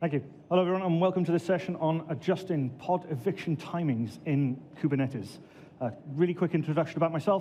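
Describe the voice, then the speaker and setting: A man with a Welsh accent talks very fast in a high, dark and mellow voice, with very even loudness and ordinary pitch variation. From Wales, Swansea. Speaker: database administrator and conference speaker. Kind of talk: conference talk.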